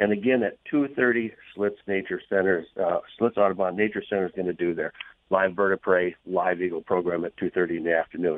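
A man talks at a fairly quick pace in a low pitch with fairly even intonation. The sound is dry and close, with no echo.

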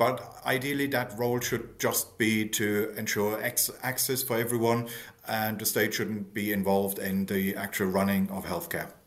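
Someone with a German accent talks at a moderate pace with hardly any pauses and fairly even intonation. Noticeable background noise sits under the voice. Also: man, fairly low pitch for a man. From Germany. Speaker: think tank economist. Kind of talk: interview.

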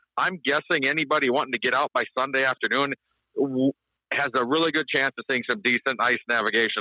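A man's medium-pitched voice with ordinary pitch variation and an Upper Midwest accent. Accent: Upper Midwest American. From South Dakota. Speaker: ice fishing guide. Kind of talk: radio interview.

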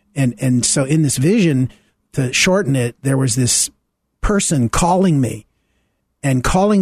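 Over a quiet background, a man with an American accent speaks at a moderate pace and medium pitch, somewhat breathy, with ordinary pitch variation and a dry, close sound with no echo. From US South. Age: 70s. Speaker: minister. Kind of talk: radio interview. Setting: studio.

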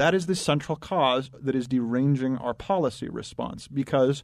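This is an ordinary speaking voice, a man's at medium pitch. He keeps a moderate pace and ordinary pitch variation against a quiet background. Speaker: data analyst. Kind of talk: talk radio discussion.

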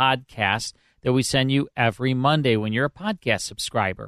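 A man speaks with an unremarkable speaking voice at medium pitch, with lively intonation and a quiet background. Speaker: radio host. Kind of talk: casual chat. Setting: studio.

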